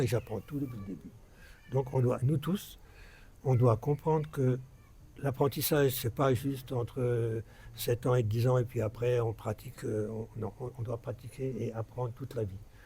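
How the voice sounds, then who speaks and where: Somewhat breathy, a man's dark, mellow tone at medium pitch with fairly even intonation. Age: 60s. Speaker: religious speaker. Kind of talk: religious talk to followers. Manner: halting, many repetitions.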